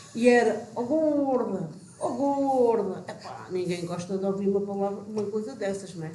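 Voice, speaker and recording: A woman speaks in an animated tone at a fairly slow pace, with audible room echo and noticeable background noise. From Portugal, Vale de Maceira village. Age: 60s. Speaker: village old friend reminiscing. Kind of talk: casual group reminiscing chat.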